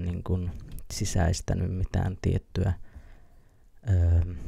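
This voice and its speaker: Over a quiet background, a soft-spoken man with a very deep, low pitch and a somewhat breathy, dark, mellow tone comes through in a dry sound with no echo. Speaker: ASMR creator. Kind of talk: ASMR casual rambling. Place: home room. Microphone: studio mic.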